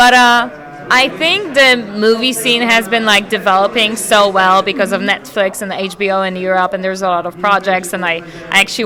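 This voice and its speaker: A woman with a slight Polish accent speaks with ordinary pitch variation over noticeable background noise. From Poland. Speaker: actress. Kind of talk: red carpet interview.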